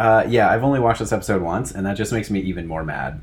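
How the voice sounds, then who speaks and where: A man with an American accent, vocal fry and lively intonation, amid audible room echo. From United States. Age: 30s. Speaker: podcast co-host. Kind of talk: casual chat.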